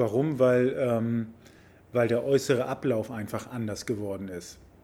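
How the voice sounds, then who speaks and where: A man's medium-pitched, dark, mellow voice at a moderate pace, with fairly even intonation. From Hamburg, Germany (Harburg/Wilhelmsburg). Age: 50s. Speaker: member of parliament. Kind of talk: casual interview. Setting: sports club.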